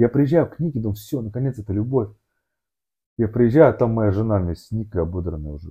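At a fairly quick pace, a somewhat breathy man speaks at a medium pitch with lively intonation and big swings in loudness. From Moscow region, Russia. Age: 30s. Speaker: amateur endurance athlete and businessman. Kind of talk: casual interview, life story. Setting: studio, sitting opposite host. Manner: halting, many fillers and restarts.

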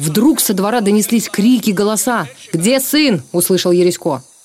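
At a moderate pace, a woman with a medium pitch uses a dramatic tone and very wide pitch swings over noticeable background noise. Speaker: TV presenter reading aloud. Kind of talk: reading aloud a 1944 war sketch, solemn narration of partisan combat and reprisals. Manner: measured, grave, formal; tense, dramatic, narrating with restrained emotion.

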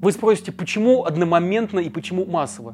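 Here a man talks at a high pitch and a fairly quick pace. His tone is dark and mellow. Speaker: journalist, video commentator. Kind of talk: scripted video commentary. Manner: emphatic.

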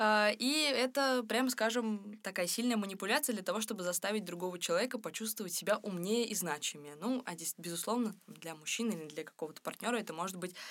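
At a fairly quick pace, a woman talks with lively intonation at a medium pitch. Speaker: podcast co-host. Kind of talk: casual chat. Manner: halting.

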